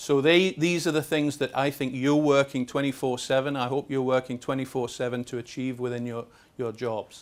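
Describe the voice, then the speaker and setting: A man with a Scottish accent talks at medium pitch with fairly even intonation. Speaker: lubricants industry expert. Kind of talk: seminar presentation. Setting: seminar with invited audience at exhibition. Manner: fast; halting, many fillers and repetitions.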